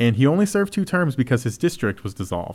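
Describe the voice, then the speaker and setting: On a very clean recording with a silent background, a man with a Texan accent talks very fast with lively intonation. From Texas. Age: 30s. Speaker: museum podcast host. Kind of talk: casual chat.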